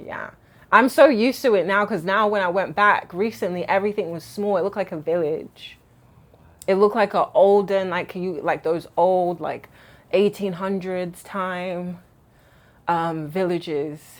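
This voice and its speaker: A woman speaks at a moderate pace in an American accent, her pitch medium with ordinary variation. The recording is very clean, with a silent background. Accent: British with some American flair. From England, London. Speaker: diaspora vlogger. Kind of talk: casual chat.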